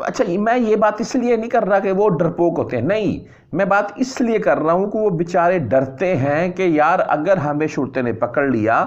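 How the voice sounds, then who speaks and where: With a high pitch and very wide pitch swings, a man speaks at a fairly slow pace against a quiet background. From Pakistan. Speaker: news vlogger for expatriate workers; news vlogger. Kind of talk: casual news commentary. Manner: conversational, with hesitations. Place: home room. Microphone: lapel.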